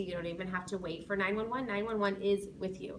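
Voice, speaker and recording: Over noticeable background noise and audible room echo, a woman talks at a medium pitch. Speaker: school safety patrol sponsor teacher. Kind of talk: informational talk to parents. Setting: being recorded by students. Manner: fast.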